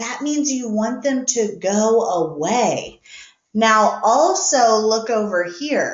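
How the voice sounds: Against a quiet background comes a natural reading voice with ordinary pitch variation.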